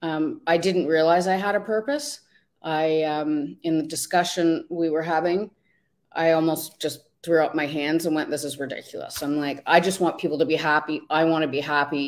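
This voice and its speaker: The pace is moderate. The intonation stays fairly even. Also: woman, very deep, low pitch for a woman. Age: 50s. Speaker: life coach. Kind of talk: interview. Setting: online video livestream. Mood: reflective, personal story. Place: home room.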